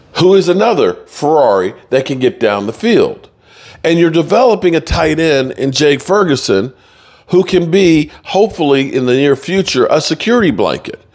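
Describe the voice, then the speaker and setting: A man's voice with vocal fry and lively intonation, at a moderate pace against a quiet background. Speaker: sports commentator. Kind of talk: commentary. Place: home room. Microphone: studio mic.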